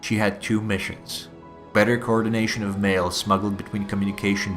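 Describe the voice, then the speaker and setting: Against music in the background, a man speaks with a fairly low pitch. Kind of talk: history explainer narration.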